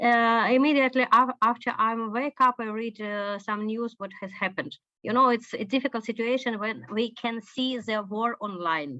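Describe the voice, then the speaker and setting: A woman's bright, sharp voice, fairly high in pitch, with fairly even intonation at a moderate pace against a quiet background. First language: Ukrainian or Russian. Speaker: Kyiv resident. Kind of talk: video call interview. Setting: video call. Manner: halting.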